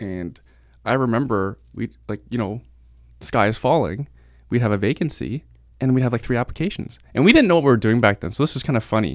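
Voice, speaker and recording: A man talks at a fairly quick pace in a normal speaking voice, with medium pitch and ordinary pitch variation. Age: 30s. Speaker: real estate investor and agent. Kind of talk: casual interview.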